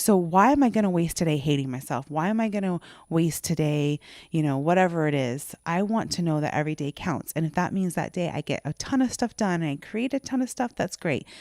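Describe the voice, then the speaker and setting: On a very clean recording with a silent background, a woman speaks at a fairly quick pace in a fairly low pitch. Her tone is animated and her intonation lively. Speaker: podcast co-host. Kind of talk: casual chat. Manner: fast.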